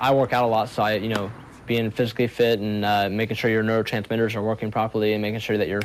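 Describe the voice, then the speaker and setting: The speaker has an American accent and a very fast pace. Intonation is monotone and flat. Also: man, fairly low pitch for a man. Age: 20s. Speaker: professional video game player. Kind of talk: interview. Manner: casual, hesitant fillers.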